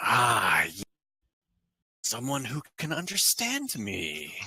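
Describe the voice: A man puts on a character voice at medium pitch. He speaks at a very slow pace, with hissing.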